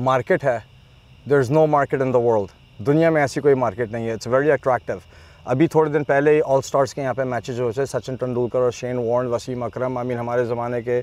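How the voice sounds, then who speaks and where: An unremarkable speaking voice moves at a moderate pace with fairly even intonation, the sound dry with no echo. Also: man, medium pitch for a man. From US (Chicago area), Pakistani family. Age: 40s. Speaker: cricket league founder; guest. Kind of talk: interview. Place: open country. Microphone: lapel.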